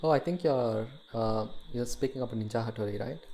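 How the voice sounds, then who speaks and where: A man speaks with an Indian accent. His pitch is medium and his pace is moderate. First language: an Indian language other than Hindi. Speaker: 3D artist streamer. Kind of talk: casual livestream tutorial. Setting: livestream. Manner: hesitant, thinking aloud.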